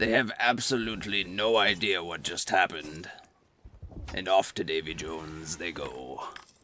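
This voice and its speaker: A man puts on a character voice, pitched very deep and low. He speaks at a moderate pace. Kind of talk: pirate-talk storytelling. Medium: solo performance. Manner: playful, mock-pirate grammar.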